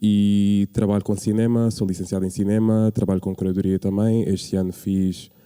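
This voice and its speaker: Here a man talks at a fairly slow pace. His tone is dark and mellow, his pitch fairly low. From Portugal, Lisbon area (Odivelas). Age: 20s. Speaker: curator and community organiser. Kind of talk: public talk. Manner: halting, many fillers.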